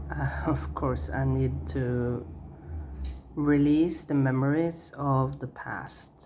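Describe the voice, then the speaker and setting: A woman talks at a very slow pace, her very deep, low pitch making very wide swings. Audible room echo and noticeable background noise fill the recording. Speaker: tarot reader. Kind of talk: tarot reading. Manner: halting, many fillers.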